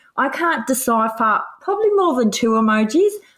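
In an Australian accent, a woman speaks at a fairly slow pace with a high pitch and very wide pitch swings. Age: 40s. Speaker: podcast co-host. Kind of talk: casual chat.

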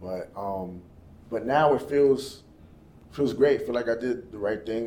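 Audible room echo around a man speaking at a moderate pace with fairly even intonation. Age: young. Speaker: sales agent and musician. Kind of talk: casual interview.

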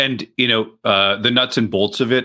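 This is a man talking. The rise and fall of his pitch is ordinary. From Ontario, Canada (Peterborough). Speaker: leadership training executive. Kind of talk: interview conversation. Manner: hesitant, many fillers.

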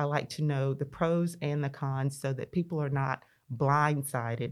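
In a Mississippi accent, a woman speaks with a very deep, low voice and fairly even intonation on a very clean recording with a silent background. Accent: Southern US (Mississippi). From US South, rural northeast Mississippi (Lee County). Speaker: state legislator. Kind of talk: interview conversation.

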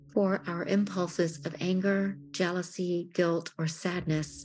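A woman speaks in a solemn tone, fairly low in pitch, at a very slow pace. Noticeable background noise is present. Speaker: worship elder leading prayer. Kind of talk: guided prayer of confession; fervent prayer. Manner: slow, solemn, heartfelt; pleading, fervent.

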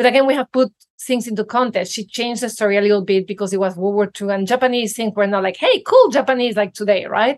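A woman at a very fast pace, barely pausing, with fairly even intonation and a dry, close sound free of echo. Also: fairly high pitch for a woman. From Venezuela. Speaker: podcast host. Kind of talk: interview conversation.

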